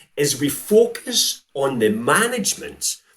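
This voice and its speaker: A man with a Scottish accent. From Scotland. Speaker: sales coach. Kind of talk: interview.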